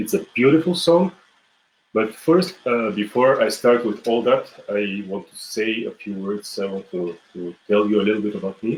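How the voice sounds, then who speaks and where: Lively in his intonation, a man of medium pitch speaks at a moderate pace in a Bulgarian accent. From Bulgaria, Smolyan mountains. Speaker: folk musician and music teacher. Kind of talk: online music lesson. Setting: live video stream. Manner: halting, many fillers and restarts.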